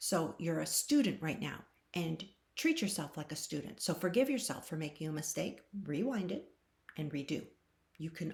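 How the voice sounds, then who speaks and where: Lively intonation marks this somewhat breathy voice. The delivery keeps a moderate pace. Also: woman. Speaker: tarot reader. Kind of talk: channeled tarot reading. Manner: animated.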